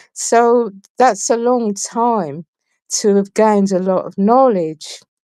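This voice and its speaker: A woman in an English accent, fairly high in pitch with a dark, mellow tone, at a very slow pace with ordinary pitch variation. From England. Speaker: guest on a talk show. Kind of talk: interview. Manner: halting.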